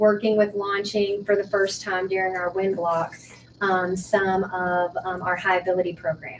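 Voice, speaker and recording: A woman speaks at a moderate pace. Hers is an unremarkable speaking voice. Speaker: school principal. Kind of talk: school meeting report.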